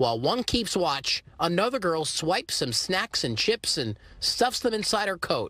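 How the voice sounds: A man talks at a fairly slow pace in a high pitch with big swings. His tone is bright and sharp.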